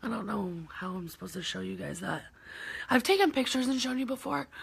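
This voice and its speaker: Vocal fry marks a woman's voice with an American accent. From Michigan. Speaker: heart patient vlogger. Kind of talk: live video Q&A. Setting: live stream reading comments. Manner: casual with many fillers.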